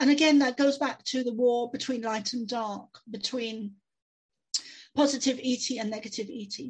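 Against a quiet background, a woman with a London accent talks at a moderate pace, her high pitch kept to fairly even intonation. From London, England. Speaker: psychic medium and author. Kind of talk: interview.

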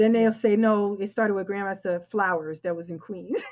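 A woman talks at a moderate pace with a New York accent. Her pitch is medium, with ordinary pitch variation. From New York, the Bronx. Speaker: swing dance organizer. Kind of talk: casual chat.

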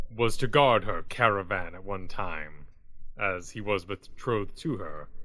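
Putting on a character voice, a man talks at a moderate pace and a fairly low pitch. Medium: actual play. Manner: formal, stiff diction.

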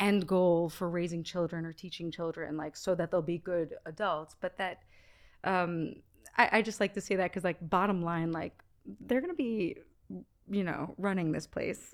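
On a very clean recording with a silent background, a woman uses an unremarkable speaking voice at a medium pitch and a moderate pace. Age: 30s. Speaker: actress and podcast host. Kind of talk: casual chat.

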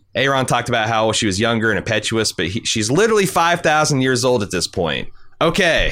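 Fairly quick and with vocal fry, the voice has a bright, sharp tone and an American accent on a very clean recording with a silent background. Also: man. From US. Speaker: podcast host. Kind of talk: casual chat.

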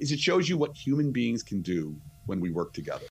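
A man with a New Jersey accent talks at a fairly quick pace while music plays in the background. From New Jersey, near New York City. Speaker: astrophysicist and author. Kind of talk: interview. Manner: animated.

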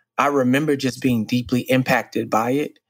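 This man has a normal speaking voice at medium pitch, with an American accent and a moderate pace. The recording is very clean, with a silent background. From Dallas, Texas. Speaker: podcast co-host, organization president. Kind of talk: casual chat.

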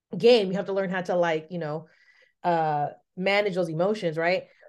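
A woman with a Bay Area accent at medium pitch, ordinary pitch variation and a moderate pace, over a quiet background. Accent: Bay Area Californian. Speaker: podcast host. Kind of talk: casual interview.

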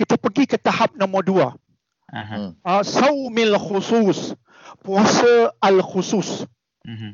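A man with a high pitch and lively intonation, speaking at a very slow pace with big swings in loudness. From Malaysia, Penang. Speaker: medical doctor. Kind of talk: radio interview.

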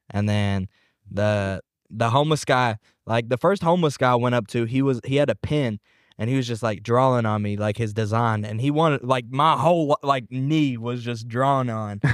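On a very clean recording with a silent background, a man with an ordinary speaking voice talks at medium pitch and a moderate pace. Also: ordinary pitch variation. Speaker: rapper. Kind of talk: casual chat.

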